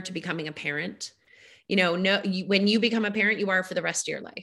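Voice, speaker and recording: At a very fast pace, a woman speaks at medium pitch in a monotone, flat delivery with a bright, sharp tone. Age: 40s. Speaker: podcast host, grief professional. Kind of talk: casual interview conversation.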